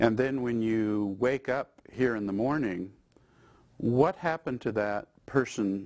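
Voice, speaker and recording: A very clean recording with a silent background captures a man. He talks at a fairly slow pace with ordinary pitch variation. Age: 60s. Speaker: institute president speaking on consciousness. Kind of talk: interview monologue. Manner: reflective, with hesitations.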